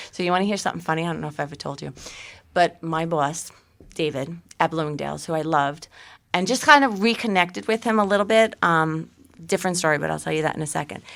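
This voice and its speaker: A very fast pace in a Staten Island accent. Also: woman, fairly low pitch for a woman, ordinary pitch variation. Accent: Staten Island New York. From Staten Island, New York City. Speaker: real estate agent and podcast co-host. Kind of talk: casual chat.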